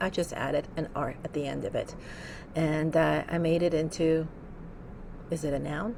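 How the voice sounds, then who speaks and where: A woman with a Russian accent and a fairly low pitch. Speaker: podcast host. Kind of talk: solo podcast monologue. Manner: casual, with many fillers.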